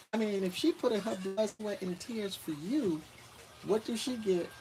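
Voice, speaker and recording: Noticeable background noise sits behind this man. He speaks with an American accent at a fairly slow pace, using ordinary pitch variation. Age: 50s. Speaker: retired expat vlogger. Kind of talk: livestream Q&A. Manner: casual, conversational.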